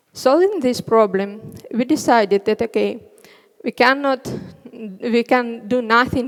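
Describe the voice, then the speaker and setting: Against a quiet background, a woman speaks with a Russian accent at a fairly slow pace. Her pitch is fairly high, with ordinary variation. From Northern Russia. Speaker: front end developer; conference speaker. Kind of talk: conference talk. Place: stage. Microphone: headset.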